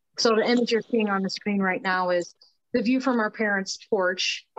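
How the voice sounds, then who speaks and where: Talking at a fairly quick pace with an Upper Midwest accent, a woman uses a fairly high pitch with ordinary pitch variation. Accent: Upper Midwest American. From northeast Iowa (Howard County). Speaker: community activist. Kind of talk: presentation with slides.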